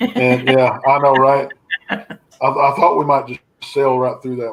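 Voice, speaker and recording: A man with an American accent speaks at a fairly high pitch. His loudness swings widely. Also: ordinary pitch variation, fairly slow pace. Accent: Texan accent, shows when relaxed. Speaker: paranormal researcher. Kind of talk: casual chat. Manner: relaxed.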